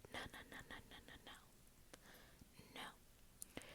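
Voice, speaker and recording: The speech is whispered. Noticeable background noise is audible. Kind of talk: ASMR storytime, casual talk to camera. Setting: filmed in a bedroom with a basic built-in microphone. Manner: whispered, soft-spoken.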